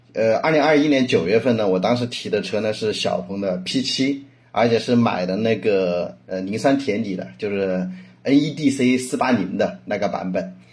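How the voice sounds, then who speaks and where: A man speaks at a moderate pace with a medium-pitched voice. Room echo can be heard. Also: ordinary pitch variation. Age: 30s. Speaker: car owner, data company product lead. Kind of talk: casual chat. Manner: halting, many fillers.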